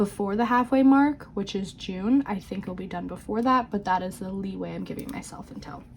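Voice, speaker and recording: Somewhat breathy and fairly high-pitched, a woman talks at a moderate tempo, her pitch shifting by an ordinary amount. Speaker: budgeting vlogger. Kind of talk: casual vlog talk. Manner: halting.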